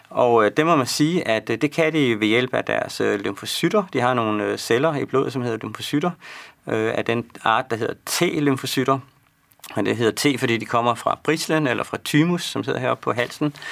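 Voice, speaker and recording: A man's medium-pitched voice with vocal fry at a moderate pace. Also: ordinary pitch variation. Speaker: medical researcher answering viewer questions. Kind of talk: live expert Q&A broadcast. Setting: studio. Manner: hesitant, many fillers.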